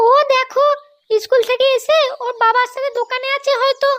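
In a cartoonish character voice, a woman speaks at an extremely high pitch and a moderate pace with monotone, flat intonation. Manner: calm, matter-of-fact.

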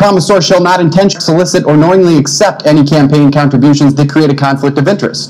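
A man speaks fairly quickly, his pitch varying in an ordinary way, with light noise in the background. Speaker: candidate. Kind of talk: debate statement. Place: studio. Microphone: podium.

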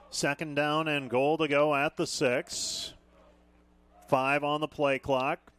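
A man speaks in a monotone, flat intonation, the sound dry with no echo and noticeable background noise around him. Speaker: football radio play-by-play announcer. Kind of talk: live sports commentary. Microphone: headset.

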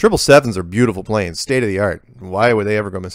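A man with a plain, everyday voice speaks at a fairly low pitch with ordinary pitch variation, on a very clean recording with a silent background. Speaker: video show host answering listener emails. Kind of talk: reading listener emails aloud with commentary. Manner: casual, conversational.

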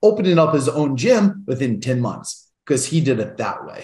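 Big pitch swings mark a man's medium-pitched, slightly mellow voice, heard with audible room echo. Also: moderate pace.

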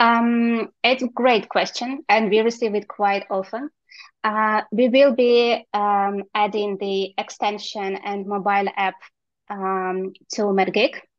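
At a very slow pace, a woman speaks with a fairly high pitch and fairly even intonation, the sound dry with no echo and the background quiet. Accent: non-native. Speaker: software company representative. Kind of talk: product presentation. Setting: video call. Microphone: video call.

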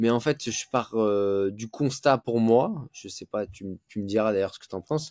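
A man talks in a plain, everyday voice at a fairly slow pace, medium in pitch with ordinary variation. The background is quiet and the sound dry with no echo. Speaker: jiu-jitsu teacher and competitor. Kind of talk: casual interview. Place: home room.

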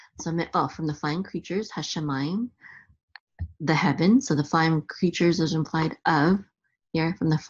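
Over a quiet background, a woman talks at a moderate pace in a fairly low pitch. Her voice is somewhat breathy, with ordinary pitch variation. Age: 40s. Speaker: Torah teacher and health coach. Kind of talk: tutorial. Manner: halting.

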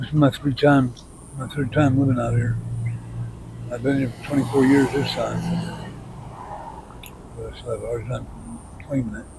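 Against noticeable background noise, a soft-spoken man with an American accent speaks at a moderate pace, with long, frequent pauses and big swings in loudness. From New York. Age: 50s. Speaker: homeless man in recovery. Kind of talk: street interview answer. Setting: outdoors, traffic noise. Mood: sorrowful, resigned. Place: street. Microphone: lapel.

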